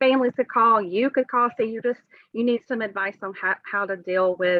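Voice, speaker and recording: A woman with a Southern US accent, fairly high in pitch, with ordinary pitch variation. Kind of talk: webinar presentation. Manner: hesitant, many fillers.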